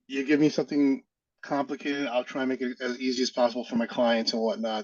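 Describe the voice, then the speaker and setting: A man talks very fast in a New York accent, medium-pitched with lively intonation. The sound is dry and close, without echo. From Brooklyn, New York. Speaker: realtor. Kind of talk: casual interview.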